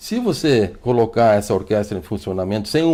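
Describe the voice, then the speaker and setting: A man speaks at a fairly brisk clip. The recording is very clean, against a silent background. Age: 60s. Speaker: physician. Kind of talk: TV health interview. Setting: TV studio. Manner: fluent, repetitive restarts.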